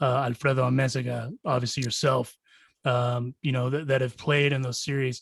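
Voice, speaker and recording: At a moderate pace, a man with a medium pitch speaks in a somewhat breathy, monotone, flat delivery. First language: Spanish. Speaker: podcast host. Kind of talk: interview over video call. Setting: video call.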